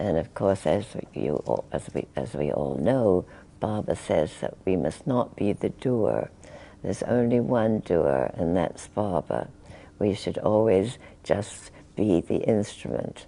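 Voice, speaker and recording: A woman's very deep, low voice with a dark, mellow tone and vocal fry, very wide pitch swings, at a fairly slow pace. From England. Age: 80s+. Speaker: spiritual teacher. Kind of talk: interview answer.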